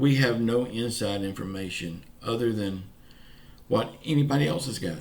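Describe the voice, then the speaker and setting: A man with a Southern US accent, medium in pitch, with lively intonation at a moderate pace, with audible room echo. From US South, Pensacola, Florida. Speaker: YouTuber giving news updates. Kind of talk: casual vlog monologue. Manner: informal, folksy.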